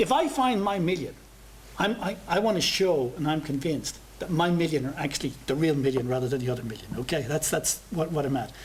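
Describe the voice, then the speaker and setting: A man with an Irish accent talks at a fairly quick pace in a fairly high pitch, his intonation lively, over noticeable background noise. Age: 60s. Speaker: professor. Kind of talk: seminar Q&A answer. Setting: seminar with audience. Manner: halting, many repetitions.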